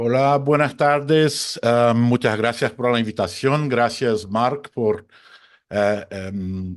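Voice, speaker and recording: Over a quiet background, a man talks at a very slow pace and medium pitch, with ordinary pitch variation. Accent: Portuguese. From Brazil. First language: Portuguese (speaking Spanish). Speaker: photojournalist and conflict reporter. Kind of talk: webinar talk.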